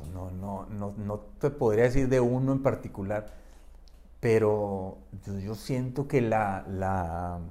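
A man's fairly low, dark and mellow voice at a very slow pace, with long, frequent pauses, big swings in loudness and audible room echo. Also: ordinary pitch variation. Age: 60s. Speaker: adventurer and photographer. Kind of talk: casual chat. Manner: halting.

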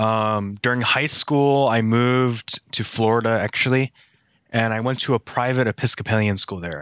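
A man with an American accent speaks at a medium pitch and moderate pace, with fairly even intonation. It is an unremarkable speaking voice. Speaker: church staff member. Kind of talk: casual chat.

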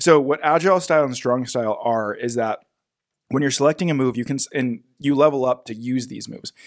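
Dry and close with no echo, this very clean recording has a silent background. A man at medium pitch uses a normal speaking voice, moving at a fairly quick pace with ordinary pitch variation. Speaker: podcast host. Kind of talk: casual banter, game review. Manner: joking, bantering.

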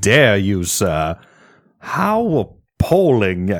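Putting on a character voice, a man speaks at a fairly low pitch with a raspy sound. His intonation is lively. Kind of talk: posh, formal, affected. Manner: offended, indignant.

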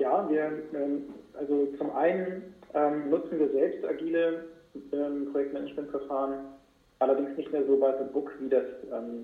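Amid audible room echo, a man speaks at a fairly high pitch with fairly even intonation. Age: 40s. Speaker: entrepreneur, podcast host. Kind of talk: interview. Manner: hesitant, many fillers. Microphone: poor sound quality.

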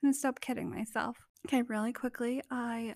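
A woman with a Canadian accent speaks quietly at a fairly quick pace. Her voice is squeaky, with fairly even intonation. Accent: general Canadian. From Canada. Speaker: podcast host. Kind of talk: casual solo podcast monologue. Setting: vacation rental abroad. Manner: soft-spoken, laid-back, giggly.

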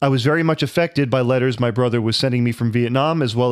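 At a very fast pace, a man with a medium pitch and ordinary pitch variation speaks on a very clean recording with a silent background. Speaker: podcast co-host. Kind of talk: casual banter podcast.

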